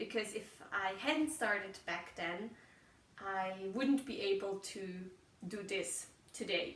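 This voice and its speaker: A woman with a German accent at a very slow pace, with audible room echo. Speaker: podcaster. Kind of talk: casual monologue. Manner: halting, searching for words.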